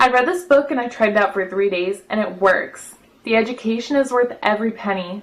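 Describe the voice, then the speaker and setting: A woman at a fairly high pitch and fairly quick pace, over noticeable background noise. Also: ordinary pitch variation. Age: 30s. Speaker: customer giving testimonial. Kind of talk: testimony.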